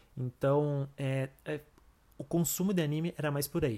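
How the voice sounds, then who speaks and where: The recording is very clean with a silent background, carrying an unremarkable speaking voice with ordinary pitch variation. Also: man. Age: 30s. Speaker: podcast host. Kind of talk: casual monologue.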